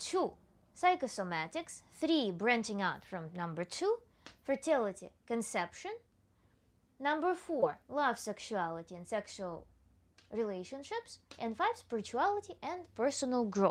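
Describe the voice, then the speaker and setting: Her pitch fairly high and swinging very widely, a woman speaks with a non-native accent. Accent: foreign accent that viewers ask about. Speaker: tantra coach. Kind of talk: livestream Q&A. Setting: livestream.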